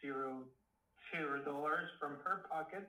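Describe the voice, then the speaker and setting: Fairly high in pitch, a man's voice moves at a fairly slow pace. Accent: Spanish. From Mexico. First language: Spanish. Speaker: filmmaker. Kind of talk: casual interview. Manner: halting.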